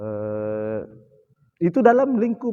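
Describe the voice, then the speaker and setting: With a dark, mellow tone, a man speaks in very wide pitch swings. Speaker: cultural expert. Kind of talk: podcast interview.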